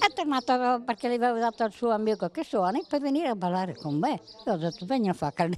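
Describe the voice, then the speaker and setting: A woman with a fairly high pitch talks at a very fast pace, her pitch swinging very widely while her loudness stays very even, in a dry recording with no echo and light background noise. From Friuli, Italy (Bicinicco); Friuli, Italy. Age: 80s+. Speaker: care home resident; interviewee. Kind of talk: interview, personal stories. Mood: cheerful, amused storytelling. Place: street. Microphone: handheld.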